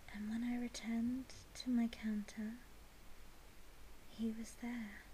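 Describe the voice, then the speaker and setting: Soft-spoken, a woman talks at a fairly slow pace with monotone, flat intonation. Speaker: ASMR whisper creator. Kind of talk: softly spoken personal story.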